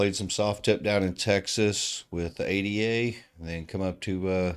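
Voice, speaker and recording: A man's very deep, low-pitched voice in a very clean recording with a silent background. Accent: American. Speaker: darts commentator. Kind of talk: live sports commentary. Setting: live stream at a darts tournament.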